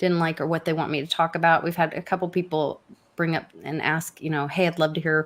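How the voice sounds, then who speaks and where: Her pitch sits fairly low. This woman talks with a Southern US accent. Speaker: crypto show co-host. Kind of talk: casual chat.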